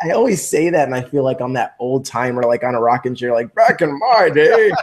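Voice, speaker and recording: A fairly high-pitched man speaking fairly quickly with lively intonation, amid noticeable background noise. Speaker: network marketing recruiter. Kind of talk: interview.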